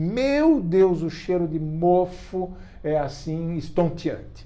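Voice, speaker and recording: A man speaks at a very slow pace in a high pitch with ordinary pitch variation, his tone dark and mellow, with audible room echo. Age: 70s. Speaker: writer and activist. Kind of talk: interview. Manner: hesitant, with repetitions and fillers.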